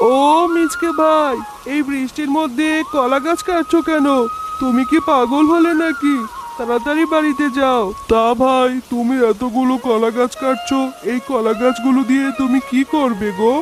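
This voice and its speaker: A man performs a cartoonish character voice at an extremely high pitch and a moderate pace. Clear background noise is present. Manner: mocking.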